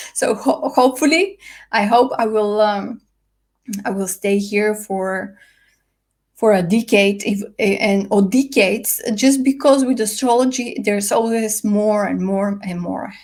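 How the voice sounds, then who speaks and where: Somewhat breathy speech in a non-native accent, at a fairly slow pace with ordinary pitch variation. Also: woman, fairly high pitch for a woman. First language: not English. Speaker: astrologer. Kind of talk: casual video talk. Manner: hesitant, many fillers.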